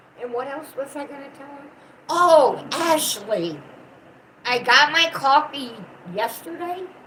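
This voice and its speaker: A woman with an American accent, high in pitch with lively intonation and big swings in loudness, at a fairly slow pace with long, frequent pauses, over noticeable background noise. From US South. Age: 60s. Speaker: channel owner's mother, co-host. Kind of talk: casual chat.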